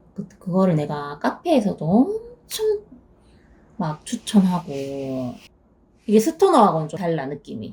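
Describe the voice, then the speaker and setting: Using long, frequent pauses, a woman speaks very slowly at a medium pitch with lively intonation and big swings in loudness. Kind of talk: casual conversation.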